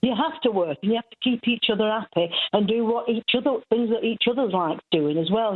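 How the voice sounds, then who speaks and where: A woman with a Mancunian accent, medium-pitched, fairly quick, with lively intonation. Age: 70s. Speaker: caller. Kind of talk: phone-in call.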